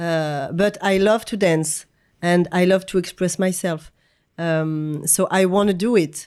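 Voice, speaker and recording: A woman's fairly low voice in a French accent at a fairly slow pace. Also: very clean recording, silent background. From France. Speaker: choreographer and dancer. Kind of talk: casual interview conversation. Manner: halting, searching for English words.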